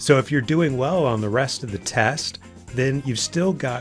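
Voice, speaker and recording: The speech moves at a moderate pace with ordinary pitch variation, and music plays in the background. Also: man. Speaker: driving test prep instructor. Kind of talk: instructional tutorial to camera.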